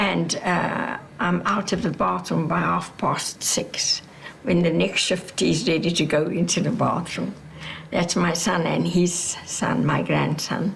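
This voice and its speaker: A woman at a very slow pace and very even loudness, with noticeable background noise and audible room echo. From South Africa, Cape Town. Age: 80s+. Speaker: retired teacher and activist. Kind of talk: documentary interview. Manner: halting.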